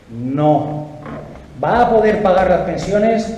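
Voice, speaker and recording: A man talks with ordinary pitch variation. Noticeable background noise and audible room echo surround him. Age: 60s. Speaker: political activist and speaker. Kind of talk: political interview.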